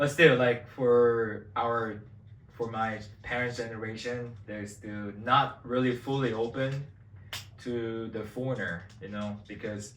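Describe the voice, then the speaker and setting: A man speaks very slowly with a Korean accent, at a medium pitch and with fairly even intonation. His loudness swings widely, and there is audible room echo with music in the background. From South Korea. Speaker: vlogger. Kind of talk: casual chat.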